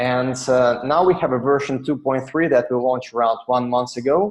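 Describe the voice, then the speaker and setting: Over a quiet background, a man with a Russian accent speaks at a medium pitch and a moderate pace with ordinary pitch variation. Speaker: software company director. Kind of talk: webinar presentation. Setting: online webinar. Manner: halting, many fillers.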